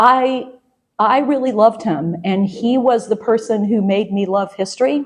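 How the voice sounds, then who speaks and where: A woman speaks at a moderate pace with an American accent. Her pitch is fairly high, with ordinary variation. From US South, suburban Atlanta. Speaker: historian, professor, author. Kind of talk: interview.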